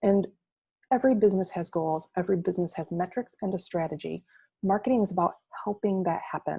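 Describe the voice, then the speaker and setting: The tone is dark and mellow, somewhat breathy, with ordinary pitch variation. The pace is very fast. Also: woman, medium pitch for a woman. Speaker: marketing agency presenter. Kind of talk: webinar presentation.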